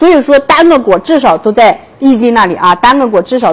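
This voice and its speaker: Her intonation lively, a woman talks at a moderate pace in a high pitch. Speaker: livestream seller. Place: home room. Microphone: lapel.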